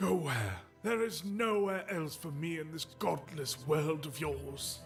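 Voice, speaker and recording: A man uses a put-on character voice at a fairly high pitch and a fairly slow pace. Clear music plays in the background. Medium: virtual streamer.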